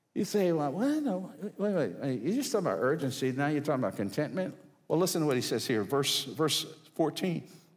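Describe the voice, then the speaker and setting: The intonation is lively, with vocal fry throughout. The pace runs fairly quick. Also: man, fairly high pitch for a man, quiet background. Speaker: guest preacher. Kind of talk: sermon. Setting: church with audience. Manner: animated. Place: church. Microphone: headset.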